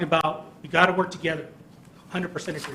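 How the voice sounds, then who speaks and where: Noticeable background noise sits under a man's voice, high for a man. He talks very fast in a monotone, flat intonation. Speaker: presenter on infrastructure projects. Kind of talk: presentation to legislators. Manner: halting, many fillers and repeats.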